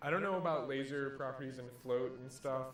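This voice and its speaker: Music is playing behind the speaker. He is a man with a fairly high-pitched voice. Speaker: Samus player commentating a local tournament match. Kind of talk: live commentary. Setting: tournament venue. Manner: quiet.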